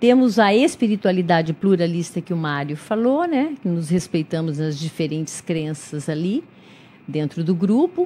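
A woman with a dark, mellow tone and fairly low pitch speaks at a moderate pace with lively intonation. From interior of São Paulo state, Brazil. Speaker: clinical psychologist and volunteer. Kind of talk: radio interview. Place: studio. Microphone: studio mic.

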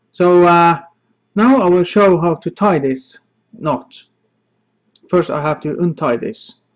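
A very slow pace with ordinary pitch variation, over a quiet background. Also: man, high pitch for a man. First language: not English. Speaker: knot-tying instructor. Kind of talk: tutorial. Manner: halting, with many fillers. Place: home room. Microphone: phone near.

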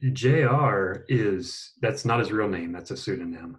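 A man's somewhat breathy, fairly low voice over a quiet background. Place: home room.

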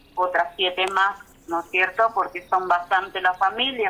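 Against noticeable background noise, a woman with a medium pitch talks at a fairly slow pace. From Argentina, Chaco (Puerto Vilela). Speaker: community organizer of women canoe fishers. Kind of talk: interview. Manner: halting.

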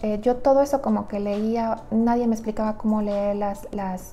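Over light background noise, a woman speaks at a moderate pace in a flat, monotone intonation. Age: 30s. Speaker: nutritionist. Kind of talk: personal story vlog. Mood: reflective personal story. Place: home room. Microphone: lapel.

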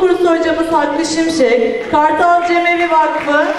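Amid light background noise and audible room echo, a woman with an extremely high pitch speaks at a moderate pace with fairly even intonation. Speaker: event host. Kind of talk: formal ceremony speech. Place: hall. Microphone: handheld.

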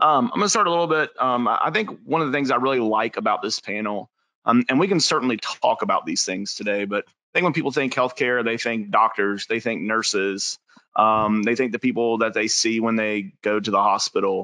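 A man talks at a fairly quick pace with lively intonation and a bright, sharp tone. The background is quiet and the sound dry with no echo. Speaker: webinar moderator. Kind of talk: moderated panel webinar. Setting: video call. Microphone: video call.

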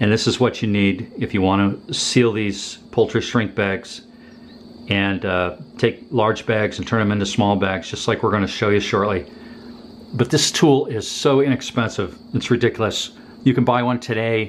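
Over light background noise, a man talks at a moderate pace. His pitch varies in an ordinary way. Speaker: homesteader demonstrating tools. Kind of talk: tutorial. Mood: enthusiastic about value. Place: home room.

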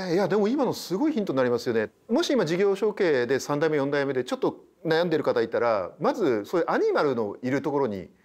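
Talking very fast with hardly any pauses, a man's fairly high voice makes very wide pitch swings while his loudness stays very even. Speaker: TV host and business scholar; TV host. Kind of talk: interview. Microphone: lapel.

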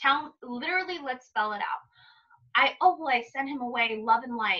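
In an American accent, a woman speaks in a raised, projected voice with a bright, sharp tone and very wide pitch swings. Her pace is moderate, and the background is quiet. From East Los Angeles, Pico Rivera; East Los Angeles. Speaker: psychic; interview guest. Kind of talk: casual interview chat. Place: home room. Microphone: video call.

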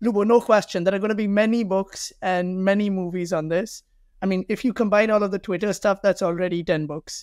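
Against a quiet background, a man talks at a fairly quick pace with a high pitch. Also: fairly even intonation, dry sound with no echo. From India, Delhi. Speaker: startup founder; guest. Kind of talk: interview. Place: office. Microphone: webcam.

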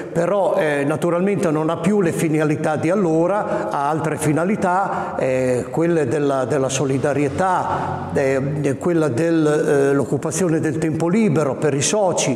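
Speaking at a fairly slow pace, a man with a fairly high pitch and ordinary pitch variation keeps a very even loudness amid audible room echo. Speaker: dialect poet. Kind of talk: interview answer. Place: hall.

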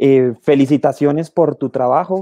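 A man with a normal speaking voice, fairly high in pitch, at a moderate pace, with fairly even intonation and a dry sound with no echo. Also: quiet background. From Colombia. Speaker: conservation biologist, guest moderator; guest. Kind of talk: panel Q&A moderation. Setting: video call. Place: home room. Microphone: earbuds.

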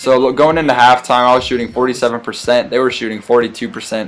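Noticeable background noise sits behind a man with a medium-pitched voice. His tone is animated, with ordinary pitch variation. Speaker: gaming YouTuber. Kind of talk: live sports commentary. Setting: video game recording with voiceover. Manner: animated, hyped play-by-play with jokes and exaggerated exclamations; casual, jokey, fast and excitable.

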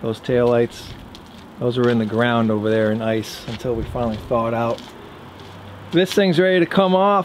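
At a moderate pace, a man talks with ordinary pitch variation over light background noise. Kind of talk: casual vlog chat. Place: garden. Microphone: phone near.

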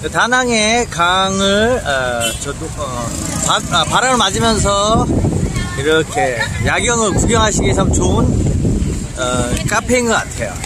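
Against loud background noise, a man speaks at a very slow pace in a dry sound with no echo. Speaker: travel vlogger. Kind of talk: casual vlog chat. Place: cafe. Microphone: phone near.

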